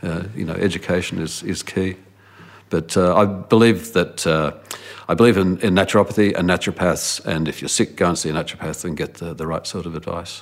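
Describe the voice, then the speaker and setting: A man with an Australian accent, very deep and low in pitch, at a fairly quick pace with fairly even intonation. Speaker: former research director. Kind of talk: interview. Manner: halting.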